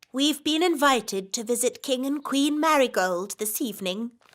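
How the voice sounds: A female-sounding cartoonish character voice, high-pitched, at a moderate pace. The recording is very clean, with a silent background.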